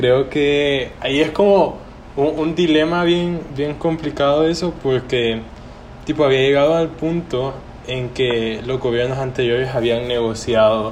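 Against noticeable background noise and audible room echo, a man speaks at a fairly slow pace with ordinary pitch variation. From El Salvador. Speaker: student. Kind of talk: casual chat. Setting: call.

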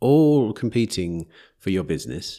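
Speaking at a fairly slow pace with very wide pitch swings, a man with an English accent is heard in a very clean recording with a silent background. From England. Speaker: podcast host. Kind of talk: interview conversation. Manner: hesitant, repeats words.

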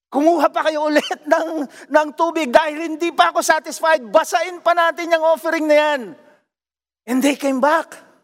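With a Filipino accent, a man speaks at a moderate pace in an extremely high pitch, his intonation fairly even. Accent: Filipino English, Taglish. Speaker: pastor. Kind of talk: sermon. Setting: online worship service. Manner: fervent, declamatory preaching, rising emphasis.

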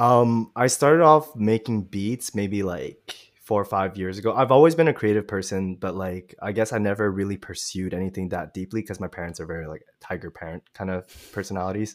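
Fairly low-pitched, a man has an unremarkable speaking voice, talking at a fairly quick pace with ordinary pitch variation and big swings in loudness. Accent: Canadian. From Montreal, Canada. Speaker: rapper. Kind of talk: casual interview chat. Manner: casual, slangy.

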